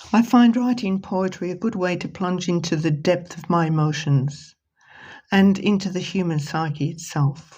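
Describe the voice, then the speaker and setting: A woman's fairly low, somewhat breathy voice with a dark, mellow tone, ordinary pitch variation and a moderate pace. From Britain. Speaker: poet and author. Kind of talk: reading aloud and book presentation.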